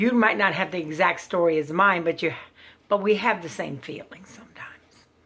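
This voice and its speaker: Her pitch is medium, with ordinary pitch variation, as this woman speaks. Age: 50s. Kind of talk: personal testimony. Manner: halting.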